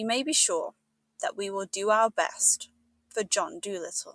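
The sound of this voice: A put-on character voice from a woman, husky and fairly high-pitched, at a moderate pace, with a dry, close sound and no echo.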